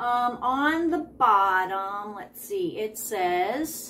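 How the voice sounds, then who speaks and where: A woman speaks very slowly in a high voice, her pitch swinging very widely. Light noise sits in the background. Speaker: reseller vlogger. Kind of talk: casual vlog chat. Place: home room. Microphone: phone near.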